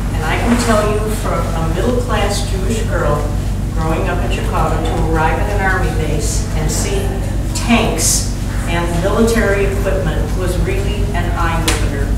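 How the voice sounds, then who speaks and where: Loud background noise fills the clip. Audible room echo hangs on the sound. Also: woman, moderate pace. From US Midwest. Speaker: painter. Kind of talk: gallery talk. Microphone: camera far.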